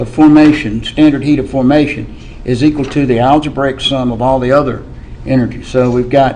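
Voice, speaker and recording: A man with a fairly high pitch and fairly even intonation talks amid noticeable background noise and audible room echo. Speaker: chemistry teacher. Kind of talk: lecture.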